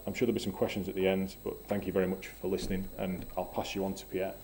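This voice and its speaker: This man speaks with a northern English accent. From northwest England. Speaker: engineer presenting a project. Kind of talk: technical presentation. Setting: seminar.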